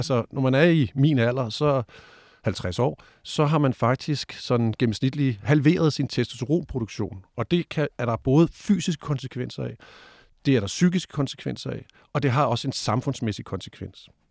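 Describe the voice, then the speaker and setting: At a fairly slow pace, a man talks in a medium pitch with ordinary pitch variation, the sound dry and close with no echo. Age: 50s. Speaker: sexologist. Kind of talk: debate interview. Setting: studio. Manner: hesitant, many fillers.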